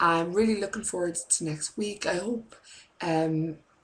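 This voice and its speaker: A woman with an Irish accent, her pitch fairly low, her intonation fairly even, at a fairly slow pace. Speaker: preschool teacher and vlogger. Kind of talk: casual vlog chat. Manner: rambling, many fillers. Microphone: laptop webcam.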